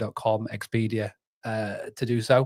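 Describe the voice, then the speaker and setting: Heard in a very clean recording against a silent background, a man with a British accent speaks at a medium pitch in a monotone, flat intonation. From northern England, North Yorkshire. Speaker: business founder. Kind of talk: casual chat.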